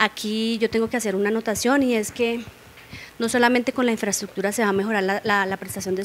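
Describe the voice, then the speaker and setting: A woman's flat, monotone delivery at a fairly quick pace, over light background noise. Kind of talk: interview answer. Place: studio. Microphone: handheld.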